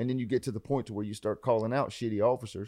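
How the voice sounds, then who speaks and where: A man with a Southern US accent, medium pitch and fairly even intonation against a quiet background. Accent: Southern US, country. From US South (Carolinas). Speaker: police officer and social media creator. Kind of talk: casual chat.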